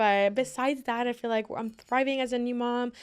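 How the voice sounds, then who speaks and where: On a very clean recording with a silent background, a woman talks in a high pitch with a Miami accent. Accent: Miami American English. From Miami, Florida. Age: 20s. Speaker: social media creator. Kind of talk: casual chat.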